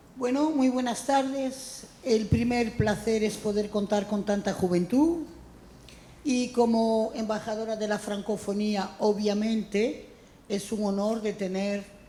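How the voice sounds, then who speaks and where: The woman's voice sits fairly high and varies in pitch in an ordinary way as she talks very slowly. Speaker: francophonie ambassador, writer and critic. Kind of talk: introductory speech.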